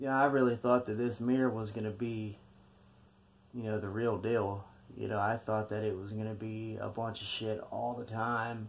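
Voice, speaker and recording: With flat, monotone intonation, a man speaks at a moderate pace. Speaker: vlogger telling a ghost story. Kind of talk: casual vlog chat. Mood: subdued, storytelling. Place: home room. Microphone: phone near.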